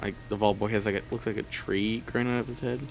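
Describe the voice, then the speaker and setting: Over noticeable background noise, a man talks at a very fast pace in a fairly low pitch with fairly even intonation. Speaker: let's play gamer. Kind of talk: gameplay commentary. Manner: casual, filler-heavy. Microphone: laptop recording.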